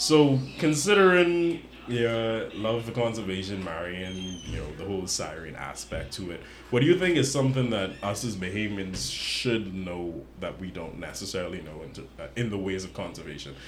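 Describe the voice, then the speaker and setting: Over noticeable background noise, a man with a fairly low pitch speaks at a moderate pace with lively intonation and big swings in loudness. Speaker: podcast co-host. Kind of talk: casual interview chat.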